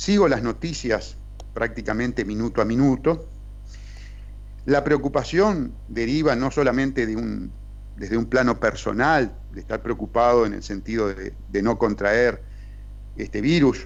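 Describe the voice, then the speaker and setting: Long pauses interrupt the talk often. Delivery moves at a fairly slow pace. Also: man. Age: 60s. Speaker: criminal lawyer and politician. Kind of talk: podcast interview. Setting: at home.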